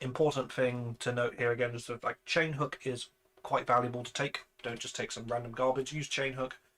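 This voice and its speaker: Speaking fairly quickly in a British accent, a man holds a medium pitch with monotone, flat intonation. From Britain. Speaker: video game content creator. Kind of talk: tutorial. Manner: casual, with frequent fillers and restarts.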